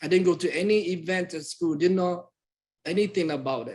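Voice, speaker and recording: In a Southeast Asian accent, a man talks at a fairly quick pace. His intonation stays fairly even. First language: Hmong. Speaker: community presenter. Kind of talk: personal testimony.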